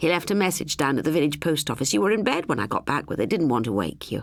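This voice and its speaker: A put-on character voice, raspy and low-to-middle in pitch, races along at a very fast pace. The recording is very clean, with a silent background. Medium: read story. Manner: patient, affectionate, firm.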